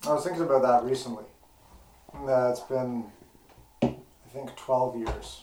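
Over noticeable background noise, a man at medium pitch talks at a moderate pace with fairly even intonation and long, frequent pauses. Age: 30s. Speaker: guitarist. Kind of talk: casual chat. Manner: halting.

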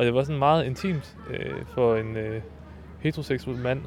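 A man talks at medium pitch in a normal speaking voice, with ordinary pitch variation. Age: 30s. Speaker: freelance musician and writer. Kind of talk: interview testimony.

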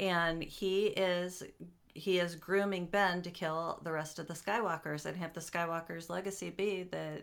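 Speaking in an ordinary speaking voice, a woman talks at a fairly slow pace with a fairly low pitch and fairly even intonation. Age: 40s. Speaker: podcast host's mother, Star Wars fan. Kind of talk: casual chat.

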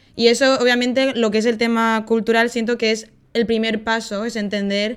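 In a Spanish accent, a woman speaks at a moderate pace with monotone, flat intonation. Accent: Spanish (Spain). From Spain, Valencia. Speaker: podcast guest. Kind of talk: casual chat.

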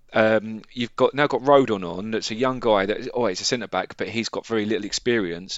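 A man with an unremarkable speaking voice, medium pitch, fairly even intonation, a fairly quick pace and hardly any pauses. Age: 40s. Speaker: football podcast co-host. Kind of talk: casual chat.

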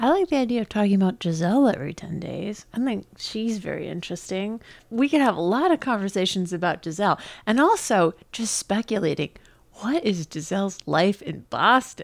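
In an American accent, a woman with an ordinary speaking voice talks at a fairly quick pace in a medium pitch with lively intonation, in a very clean recording with a silent background. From New York. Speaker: podcast co-host. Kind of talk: casual chat. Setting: home apartment.

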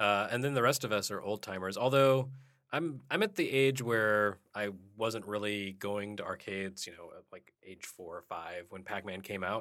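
Bright and sharp in tone, a man speaks at a moderate pace and fairly low pitch with ordinary pitch variation and big swings in loudness. The recording is very clean, the background silent. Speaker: podcast host. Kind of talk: casual chat.

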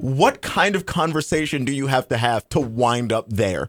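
A man speaks in a plain, everyday voice at a fairly high pitch. His moderate pace comes through a dry, close sound with no echo. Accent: American. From Texas. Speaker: podcast co-host. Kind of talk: casual chat.

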